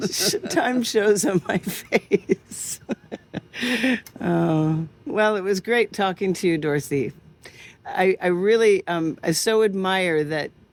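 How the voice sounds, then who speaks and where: A woman's medium-pitched voice with an American accent, at a fairly slow pace and with ordinary pitch variation. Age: 60s. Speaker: podcast host. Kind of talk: interview conversation.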